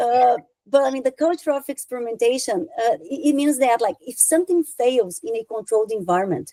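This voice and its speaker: Fairly quick pace with a Brazilian accent. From southern Brazil. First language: Portuguese. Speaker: software consultant. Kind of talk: conference talk.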